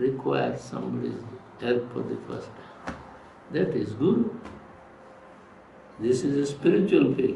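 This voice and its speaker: Noticeable background noise and audible room echo around a man talking. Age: 80s+. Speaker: yoga teacher, swami. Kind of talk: interview answers, spiritual teaching. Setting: recorded at an ashram.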